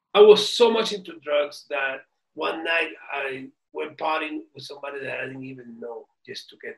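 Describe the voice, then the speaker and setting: This man talks at a moderate speed. The volume of his voice rises and falls sharply. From Cuba, raised in US (New York). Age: 60s. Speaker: violinist. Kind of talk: interview. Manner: halting with repetitions.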